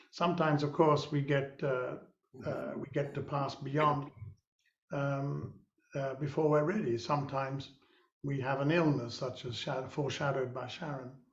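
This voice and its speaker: Speaking at a moderate pace in a room with audible echo, a man uses a fairly high pitch and a monotone, flat intonation. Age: 70s. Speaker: social entrepreneur and mentor. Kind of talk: webinar conversation. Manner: halting.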